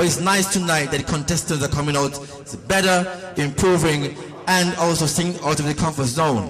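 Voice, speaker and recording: A man with a fairly high pitch talks over noticeable background noise, and the room echo is audible. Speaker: talent show host. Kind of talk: show hosting. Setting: stage with audience. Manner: loud.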